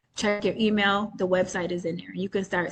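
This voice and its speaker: Somewhat breathy and monotone, with flat intonation, a woman talks at a fairly quick pace. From New York State. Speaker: entrepreneur selling credit trade lines. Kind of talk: webinar Q&A explanation. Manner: casual, frequent filler ums.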